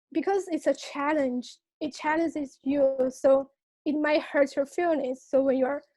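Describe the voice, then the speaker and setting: In a Chinese accent, a woman speaks at a moderate pace with a high pitch and a dark, mellow tone. Her intonation is fairly even. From China. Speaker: student. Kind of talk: interview. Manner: hesitant, many fillers.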